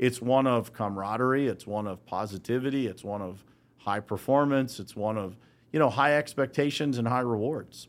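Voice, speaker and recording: A man's unremarkable speaking voice with an American accent, medium in pitch with ordinary pitch variation, at a moderate pace on a very clean recording with a silent background. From Western Pennsylvania, Uniontown. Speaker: business founder. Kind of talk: casual interview. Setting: studio.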